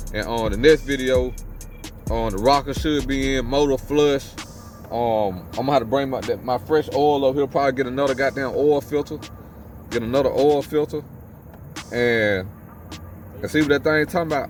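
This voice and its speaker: With noticeable background noise, a man speaks in a strong Mississippi Southern accent at medium pitch and a moderate pace, in an animated tone broken by long, frequent pauses. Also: ordinary pitch variation. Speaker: car enthusiast vlogger. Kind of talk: casual vlog talk. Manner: repetitive, informal.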